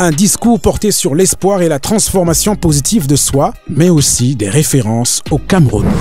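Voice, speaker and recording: Music in the background beneath a man's fairly high, lively voice at a moderate pace. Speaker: channel narrator. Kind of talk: music documentary narration.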